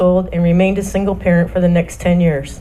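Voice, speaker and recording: A woman with an American accent talks at a very fast pace in a medium pitch. Noticeable background noise and audible room echo fill the recording. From US Midwest, Michigan. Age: 60s. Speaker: church member, singer, mother. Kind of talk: reading aloud a personal testimony. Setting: church service with microphone.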